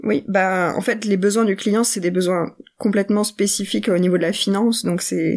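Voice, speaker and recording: A woman speaks in a plain, everyday voice at medium pitch and a moderate pace, with fairly even intonation and very even loudness. The recording is very clean, with a silent background. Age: young. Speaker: product owner in finance tech. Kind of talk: interview.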